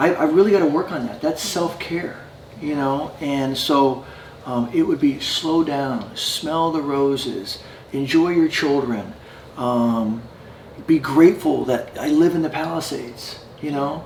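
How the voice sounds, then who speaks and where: A man with a fairly high pitch and ordinary pitch variation at a fairly slow pace, with noticeable background noise and audible room echo. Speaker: addiction recovery program founder. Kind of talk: interview. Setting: in person at a residence. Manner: halting with many fillers.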